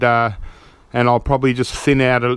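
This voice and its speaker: The sound is dry, with no echo. A man speaks with an Australian accent. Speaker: gardening video creator. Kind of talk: casual tutorial. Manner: casual, hesitant with many fillers. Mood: relaxed, pleased. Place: garden. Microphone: phone near.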